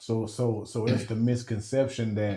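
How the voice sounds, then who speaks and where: A man with an American accent speaks in a fairly low, somewhat breathy voice with a dark, mellow tone and monotone, flat intonation. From Texas, Dallas. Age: 50s. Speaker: counselor or educator. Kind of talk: casual chat.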